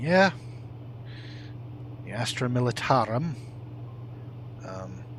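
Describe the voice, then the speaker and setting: A soft-spoken man at a medium pitch, very slow with long, frequent pauses and lively intonation. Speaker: gaming streamer. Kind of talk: live gameplay stream.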